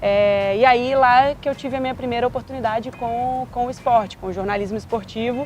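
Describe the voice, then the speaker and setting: Speaking with a Minas Gerais accent, a woman talks at a fairly quick pace with hardly any pauses. Her pitch is high and her intonation fairly even, over noticeable background noise. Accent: Minas Gerais (mineiro). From Minas Gerais, Brazil. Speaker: sports journalist. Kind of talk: interview.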